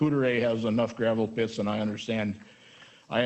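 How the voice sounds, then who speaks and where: This man talks with an American accent at a medium pitch, his intonation flat and monotone. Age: 70s. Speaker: volunteer firefighter. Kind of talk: public hearing testimony.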